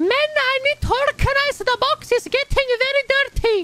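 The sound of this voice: A man puts on a character voice with an extremely high pitch and an Italian accent, speaking at a moderate pace. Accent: imitated Italian.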